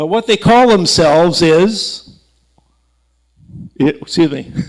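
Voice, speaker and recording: A man with an American accent and a high pitch speaks at a very slow pace with lively intonation. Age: 60s. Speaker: aerospace engineer and author, lecturer. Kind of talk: public lecture with slides. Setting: stage with live audience. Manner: conversational, halting with fillers and restarts.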